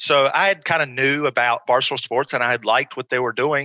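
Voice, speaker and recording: With an ordinary speaking voice, a man talks at a fairly quick pace. His pitch is medium and his intonation fairly even. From small-town North Carolina. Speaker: pro wrestler. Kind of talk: interview. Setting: video call.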